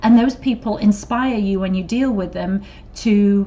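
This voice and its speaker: This woman has an English accent and a medium pitch. She speaks at a moderate pace with fairly even intonation. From England. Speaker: corporate trainer. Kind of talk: training video. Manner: casual, with fillers.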